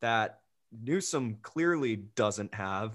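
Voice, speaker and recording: In a quiet background, a man's pitch swings very widely. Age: young. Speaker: podcast host. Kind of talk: interview.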